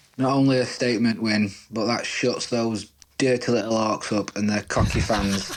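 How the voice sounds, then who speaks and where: A man with a Yorkshire accent talks at a medium pitch in a flat monotone with very even loudness. Noticeable background noise runs behind him. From Yorkshire, England. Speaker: fan sending voice message. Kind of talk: recorded voice message. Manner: slow.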